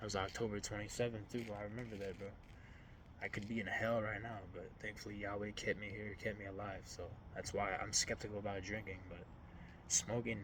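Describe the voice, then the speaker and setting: At a fairly quick pace, a man speaks in a fairly low pitch. His intonation is monotone and flat, with noticeable background noise around him. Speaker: faith vlogger. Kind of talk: personal testimony vlog. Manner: fast; casual, halting.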